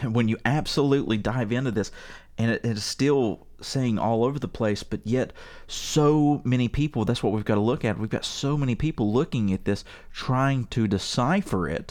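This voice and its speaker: A man speaks in an unremarkable speaking voice with an American accent, at a moderate pace, with medium pitch and ordinary pitch variation, on a very clean recording with a silent background. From West Virginia. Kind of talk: casual chat. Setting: studio.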